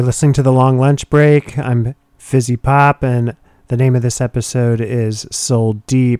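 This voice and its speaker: A man speaks at a fairly slow pace in a medium pitch with a dark, mellow tone and monotone, flat intonation. The sound is dry and close with no echo. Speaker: radio host. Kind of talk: radio DJ patter, casual music show. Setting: studio.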